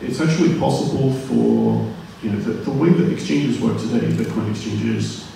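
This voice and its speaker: The recording carries strong room echo along with light background noise. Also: man. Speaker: speaker. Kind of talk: panel discussion answer. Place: hall.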